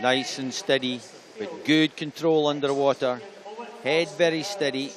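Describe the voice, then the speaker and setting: With a Scottish accent and lively intonation, a man speaks at a fairly slow pace. His pitch is fairly high. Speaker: swimming commentator. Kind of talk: live commentary.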